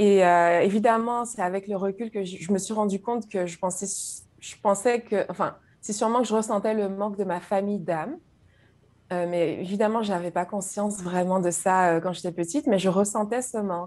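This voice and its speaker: The pace of this woman's speech is moderate. She speaks at a medium pitch with fairly even intonation. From Guadeloupe, French Antilles. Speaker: YouTube creator, spiritual guest. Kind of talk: personal testimony in interview. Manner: hesitant, repeats words.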